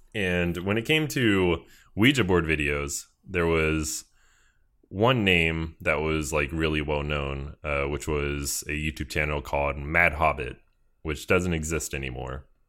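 A man with an American accent speaks fairly slowly at a very deep, low pitch, his tone bright and sharp, on a very clean recording with a silent background. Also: ordinary pitch variation. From US South, Georgia. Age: 20s. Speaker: podcast host. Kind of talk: casual chat. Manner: halting.

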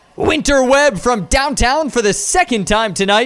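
A man's voice sits high in pitch and swings very widely. He speaks at a moderate pace with music in the background. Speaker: radio play-by-play announcer. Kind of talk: live radio sports commentary, a highlights reel of play-by-play calls.

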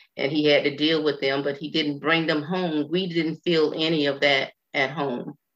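A woman's very deep, low voice in a Southern US accent, monotone and flat, at a moderate pace with hardly any pauses. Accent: Southern US (Georgia). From US South, Burke County, Georgia. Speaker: retired school employee, widow of a commissioner. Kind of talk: radio interview.

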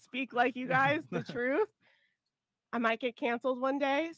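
A woman's voice at a moderate pace with fairly even intonation, dry and close with no echo, on a very clean recording with a silent background. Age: 30s. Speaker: relationship content creator. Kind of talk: casual chat. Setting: studio.

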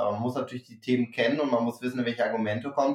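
A man speaks at a medium pitch in a monotone, flat intonation. Noticeable background noise is present. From northern Germany, Hamburg. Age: 40s. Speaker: startup founder. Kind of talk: interview.

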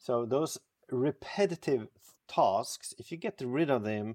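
A man's very slow speech in a Swedish accent, medium in pitch, with a dry, close sound and no echo. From Stockholm, Sweden. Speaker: IT service management consultant. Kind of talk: podcast interview. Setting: remote call.

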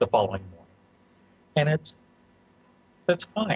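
Somewhat breathy, a man speaks at a medium pitch. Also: dry, close sound with no echo. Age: 50s. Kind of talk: interview.

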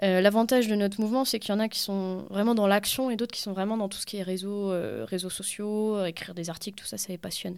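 On a very clean recording with a silent background, a woman of medium pitch talks at a very fast pace with fairly even intonation. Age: 20s. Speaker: feminist collective activist, social worker. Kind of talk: radio interview.

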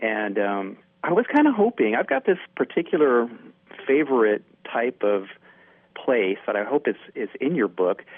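An unremarkable speaking voice, this man has an American accent and a medium pitch. He talks at a moderate pace with lively intonation. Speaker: radio caller. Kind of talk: casual chat. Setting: phone call.

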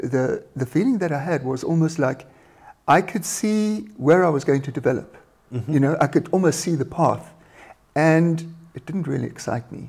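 Somewhat breathy and fairly high in pitch, a man speaks with ordinary pitch variation and long, frequent pauses. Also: moderate pace. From South Africa, small town. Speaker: leadership coach and trainer. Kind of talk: interview.

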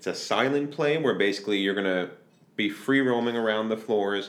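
A man talks in a plain, everyday voice with a fairly low pitch. His intonation is lively and his pace fairly quick. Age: 30s. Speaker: podcast co-host. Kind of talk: casual chat.

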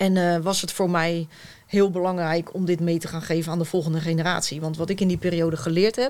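A woman speaks at a medium pitch and a moderate pace, with noticeable background noise behind her. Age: 30s. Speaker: author. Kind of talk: panel discussion.

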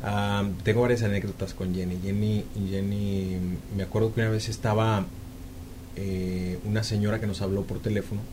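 A man speaks in a fairly low pitch with monotone, flat intonation. Audible room echo surrounds his voice. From Mexico, Jalisco (Ameca). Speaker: radio announcer and singer. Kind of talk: interview. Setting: studio.

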